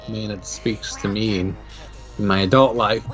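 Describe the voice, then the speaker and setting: Background music can be heard. Over it, a man talks at a moderate pace. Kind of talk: podcast reaction commentary. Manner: casual.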